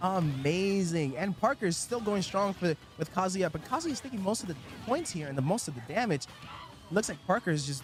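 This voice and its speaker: Music plays in the background. A man speaks at a fairly quick pace with lively intonation. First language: not English. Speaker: esports tournament commentator. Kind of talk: live commentary. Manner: animated.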